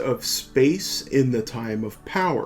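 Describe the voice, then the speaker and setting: Music plays in the background as a man with an American accent speaks at a very slow pace, his pitch medium. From United States. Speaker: podcast host. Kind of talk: podcast intro.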